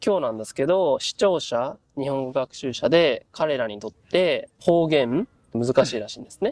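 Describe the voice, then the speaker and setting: This man talks at a moderate pace with a fairly high pitch, lively intonation, big swings in loudness and hardly any pauses, in a dry, close sound with no echo. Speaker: Japanese language teaching host. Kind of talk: interview questions to guests.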